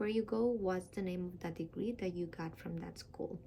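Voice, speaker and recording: A woman with a Spanish accent has a dark, mellow tone and ordinary pitch variation. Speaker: dentist giving application tutorial. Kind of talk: tutorial. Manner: casual, with many fillers.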